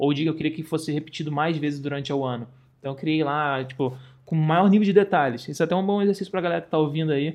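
A man with a Carioca accent talks at a very fast pace, his fairly high voice moving with ordinary pitch variation. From Rio de Janeiro, Brazil. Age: 30s. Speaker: travel content creator. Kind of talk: casual chat.

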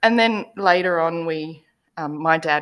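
This woman speaks with an Australian accent. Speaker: podcast guest. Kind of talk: casual chat. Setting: video call.

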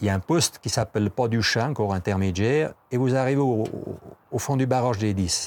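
This man speaks at a moderate pace with lively intonation and a medium pitch. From Switzerland, Valais (Val de Bagnes). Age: 60s. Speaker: tourism office employee and ski mountaineer. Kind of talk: interview. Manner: halting, many repetitions and hesitations.

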